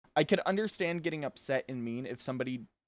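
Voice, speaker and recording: The recording is very clean with a silent background and a dry, close sound with no echo, as a man speaks at a medium pitch. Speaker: podcast co-host. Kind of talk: casual podcast chat. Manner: halting, stumbling over words.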